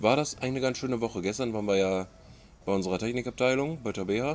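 Over music in the background, a man with a medium pitch talks at a very fast pace with ordinary pitch variation. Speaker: podcast co-host. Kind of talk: casual chat. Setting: outdoors.

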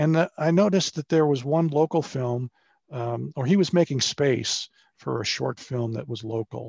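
A plain, everyday voice from a man with an American accent, fairly high in pitch with ordinary pitch variation at a moderate pace, dry and close with no echo, over a quiet background. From Maryland, US. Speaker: filmmaker and radio journalist. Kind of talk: interview. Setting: video call.

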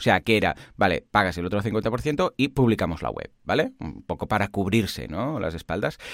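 With vocal fry and a fairly low pitch, a man speaks at a moderate pace. His intonation is lively and he barely pauses. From Catalonia, Spain. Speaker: online course platform founder, podcast co-host. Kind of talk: casual tech chat. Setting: remote line.

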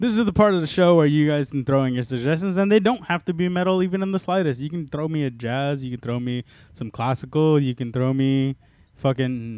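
Fairly high in pitch, a man speaks at a fairly quick pace with lively intonation. He uses an ordinary speaking voice. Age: 20s. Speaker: podcast host, metal music show. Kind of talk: casual chat.

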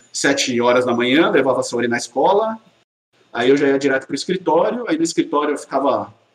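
With lively intonation and fairly high pitch, a man speaks at a very fast pace. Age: 30s. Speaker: engineer and father. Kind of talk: casual interview chat.

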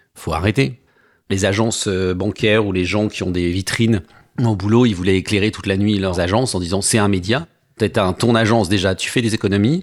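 A man speaks at a moderate pace with a fairly low pitch. The recording is very clean, with a silent background. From Savoie. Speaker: advertising professional, former citizen assembly member. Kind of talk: interview testimony. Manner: animated.

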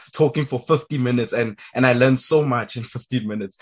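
A plain, everyday voice from a man, medium in pitch with ordinary pitch variation, at a fairly quick pace. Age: young. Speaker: podcast host. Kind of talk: interview.

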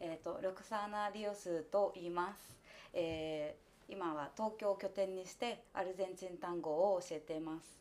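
In a Spanish accent, a woman of medium pitch speaks at a moderate pace with fairly even intonation and big swings in loudness. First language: Spanish (speaking Japanese). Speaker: tango dancer. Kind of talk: casual chat.

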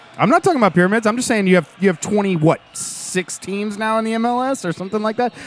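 With hardly any pauses, a man speaks at a very fast pace in a high pitch with ordinary pitch variation over noticeable background noise. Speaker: football fan content creator and voiceover artist. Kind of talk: casual podcast chat about soccer.

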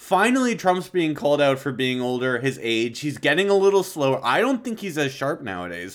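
Recorded very cleanly against a silent background, a man speaks fairly quickly with hardly any pauses, at a fairly high pitch with very wide pitch swings. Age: 20s. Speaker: political podcast host. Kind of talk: casual political discussion.

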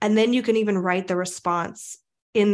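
Over a quiet background, a woman with a normal speaking voice talks at a fairly quick pace with fairly even intonation. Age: 30s. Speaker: spiritual medium and coach. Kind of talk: casual chat.

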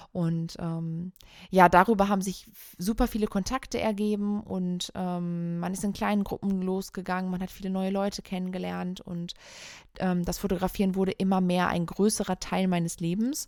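A woman speaks at medium pitch in a monotone, flat intonation. The recording is very clean, with a silent background. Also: moderate pace. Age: 30s. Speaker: photographer and podcast co-host. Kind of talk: solo podcast monologue, personal story. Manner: casual with frequent fillers.

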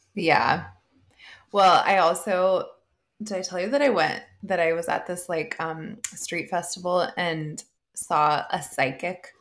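A woman's fairly low voice at a very slow pace, with ordinary pitch variation. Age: 30s. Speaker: podcast co-host. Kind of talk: casual chat. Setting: home, remote recording. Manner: loud.

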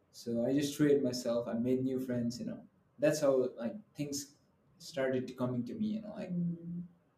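With noticeable background noise behind him, a man talks at a moderate pace and a fairly high pitch, using lively intonation. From Nepal. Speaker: student podcast co-host. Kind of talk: casual chat. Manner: outgoing.

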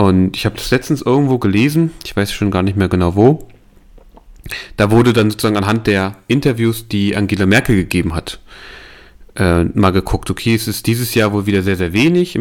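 Speaking at a fairly quick pace with lively intonation, a man comes through on a very clean recording with a silent background. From eastern Germany (Saalekreis near Halle). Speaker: podcast co-host. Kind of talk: casual chat.

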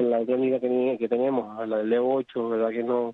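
A man of medium pitch speaks at a moderate pace. His intonation is monotone and flat. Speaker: rally driver. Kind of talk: interview.

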